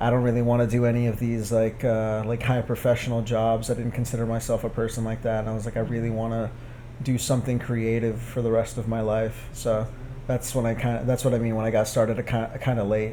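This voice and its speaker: In a room with audible echo, a man with a medium pitch talks at a fairly quick pace in a monotone, flat intonation. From Texas. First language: Spanish. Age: 20s. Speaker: photographer and artist. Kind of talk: interview. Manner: casual, with many fillers.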